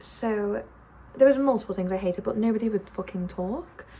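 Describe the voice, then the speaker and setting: Noticeable background noise accompanies a woman speaking fairly quickly in a fairly high pitch with ordinary pitch variation. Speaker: vlogger. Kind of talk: casual vlog chat. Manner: fast.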